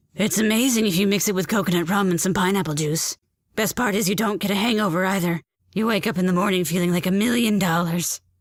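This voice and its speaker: Doing a put-on character voice, a woman talks very fast at a medium pitch. Her voice is raspy, with fairly even intonation. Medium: audio drama. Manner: flamboyant, gossipy.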